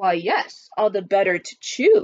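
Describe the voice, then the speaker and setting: The put-on character voice moves along at a fairly slow pace. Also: woman. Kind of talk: picture book read-aloud. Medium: read story.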